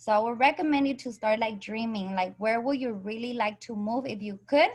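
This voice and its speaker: Fairly high in pitch, a woman speaks with ordinary pitch variation. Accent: Spanish. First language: Spanish. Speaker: direct sales coach. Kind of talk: online group training call.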